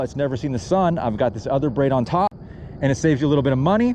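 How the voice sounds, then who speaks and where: A man rattles along at a very fast pace with a fairly high pitch and ordinary pitch variation, over noticeable background noise. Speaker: fishing vlogger. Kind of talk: outdoor fishing vlog, casual talk-along. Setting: outdoors, on a paddle board on a lake. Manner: casual, stammering at times.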